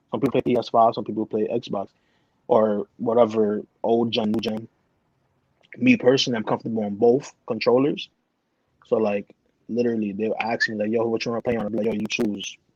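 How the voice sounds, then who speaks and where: With long, frequent pauses, a man speaks at medium pitch in a dry, close sound with no echo. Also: fairly quick pace. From Bronx, New York. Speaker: competitive video gamer. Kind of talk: casual chat. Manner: fast; animated.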